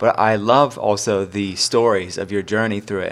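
Music plays behind a man speaking at a moderate pace. His voice is fairly low in pitch. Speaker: podcast cohost. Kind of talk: casual chat.

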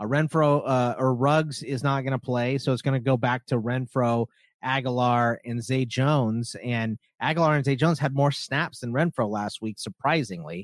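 A man with a plain, everyday voice speaks at a medium pitch with ordinary pitch variation, heard in a dry, close sound with no echo against a quiet background. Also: moderate pace. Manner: conversational, filler-heavy.

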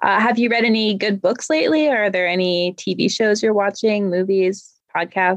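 A woman with an unremarkable speaking voice talks at a moderate pace in a medium pitch. Her pitch varies in an ordinary way and her loudness stays very even. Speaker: podcast co-host, author. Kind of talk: interview. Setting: video call.

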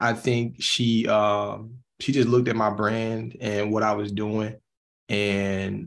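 A man speaks with a Southern US accent. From Mississippi. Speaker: musician. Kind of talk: interview.

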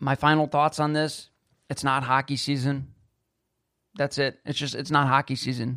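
A man speaks at a moderate pace, his pitch fairly high and his intonation flat and monotone. The sound is dry and close, with no echo. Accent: Western New York. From Buffalo, New York, US. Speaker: sports podcast host. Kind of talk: solo sports commentary podcast. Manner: casual, with fillers and self-corrections.

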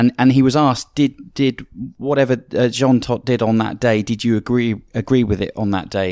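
A speaker with a British accent talks at a fairly quick pace. The recording is very clean, with a silent background. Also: man. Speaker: motorsport commentator and analyst. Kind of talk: casual panel discussion.

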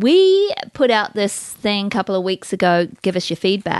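With lively intonation and an animated tone, a woman speaks at a moderate pace in a medium pitch. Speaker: podcast host. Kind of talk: casual chat. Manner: animated, joking.

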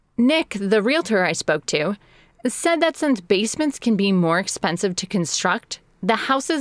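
A woman with an American accent at medium pitch, very wide pitch swings and a moderate pace, in a very clean recording with a silent background and a dry, close sound with no echo. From Chicago area, US Midwest. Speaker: podcast host and editor. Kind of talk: scripted narration.

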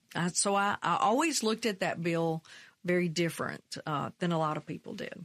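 A woman with a fairly low pitch and a Mississippi accent, on a very clean recording with a silent background. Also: ordinary pitch variation, moderate pace, dry, close sound with no echo. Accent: Southern US (Mississippi). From US South, Mississippi. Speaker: state legislator. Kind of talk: interview.

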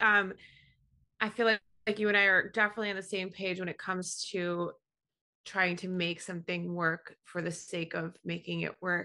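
A woman speaks with an American accent in a bright, sharp tone. Her intonation is monotone and flat, and the background is quiet. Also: medium pitch for a woman, moderate pace. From New York. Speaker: graphic designer and digital artist. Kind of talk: casual chat.

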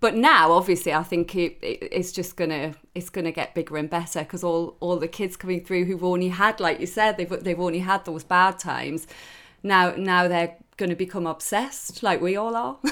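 A fairly low-pitched woman at a moderate pace with fairly even intonation, on a very clean recording with a silent background. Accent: Geordie. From Newcastle, northeast England. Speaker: sports TV presenter. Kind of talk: podcast interview.

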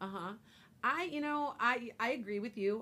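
A loud woman speaks at a moderate pace in a bright, sharp tone. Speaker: psychic radio show host. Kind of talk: casual radio chat. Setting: radio studio.

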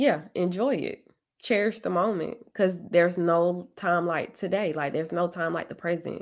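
A woman's ordinary speaking voice, fairly low in pitch, with ordinary pitch variation at a moderate pace. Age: 30s. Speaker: social worker and podcast host. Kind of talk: casual chat.

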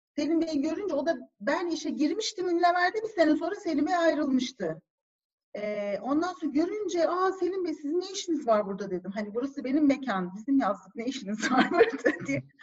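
Speaking at a fairly quick pace, a woman uses a high pitch with very wide pitch swings. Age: 40s. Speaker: marketing executive. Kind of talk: casual chat. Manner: animated.

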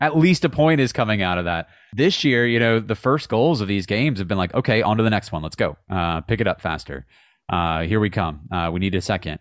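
Over a very clean, silent background, a man with an American accent speaks fairly quickly at a fairly low pitch with lively intonation. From Virginia, near Charlottesville. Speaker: soccer radio play-by-play announcer. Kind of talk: podcast interview. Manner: hesitant, many fillers.

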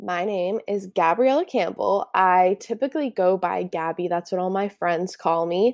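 Recorded very cleanly against a silent background, a woman speaks at a moderate pace with ordinary pitch variation. The sound is dry and close, with no echo. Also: medium pitch for a woman. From California (Santa Barbara / Ventura). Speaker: podcast host, anthropology student. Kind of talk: casual solo monologue. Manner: informal, relaxed.

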